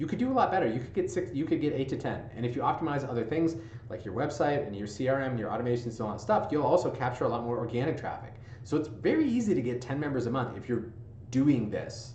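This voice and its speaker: A man with a medium pitch and ordinary pitch variation talks at a very fast pace. Audible room echo and noticeable background noise fill the recording. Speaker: gym business coach, former gym owner. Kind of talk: tutorial. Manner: animated.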